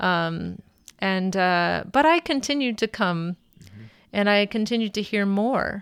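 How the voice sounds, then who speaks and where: A medium-pitched woman with an American accent, fairly slow pace and very even loudness, very clean recording and silent background. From Minnesota, US Midwest. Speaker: mother sharing faith story. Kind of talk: personal testimony. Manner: halting, many fillers.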